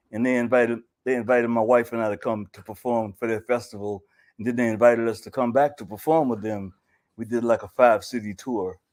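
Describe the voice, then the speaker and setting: In an American accent, a man talks at a very fast pace at medium pitch with big swings in loudness, on a very clean recording with a silent background. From US South. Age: 70s. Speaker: poet and musician. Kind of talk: interview.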